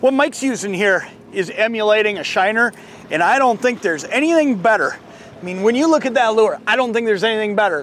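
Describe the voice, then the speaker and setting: Speaking at a very fast pace, a man sounds dry with no echo. Light background noise is present. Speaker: fishing show host. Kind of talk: tutorial. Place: boat. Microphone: lapel.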